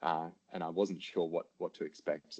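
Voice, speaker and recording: A man with a very deep, low pitch and a dark, mellow tone speaks at a moderate pace. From Australia. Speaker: paramedic practitioner. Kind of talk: interview.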